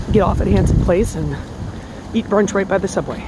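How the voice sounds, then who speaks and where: Against loud background noise, a woman talks at a very fast pace in a dry sound with no echo. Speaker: vlogger. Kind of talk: casual vlog chat. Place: street. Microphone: phone near.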